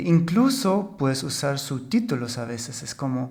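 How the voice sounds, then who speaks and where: A man with a German accent speaks at a fairly slow pace with fairly high pitch. The room echo is audible. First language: German (speaking Spanish). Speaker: podcast co-host. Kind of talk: casual chat.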